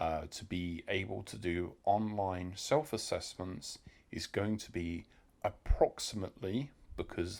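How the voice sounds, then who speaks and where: A man with a British accent and very deep, low pitch speaks with ordinary pitch variation in a very clean recording with a silent background. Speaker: delivery rider and vlogger. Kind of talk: informal tutorial. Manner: hesitant, many fillers.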